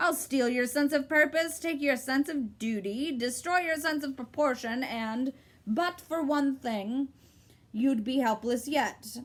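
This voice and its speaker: A cackling, high-pitched put-on character voice at a fairly slow pace. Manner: cackling, gleeful.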